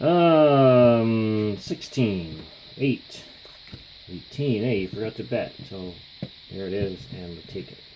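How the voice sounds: A man's fairly low, slightly mellow voice, slow in pace, with lively intonation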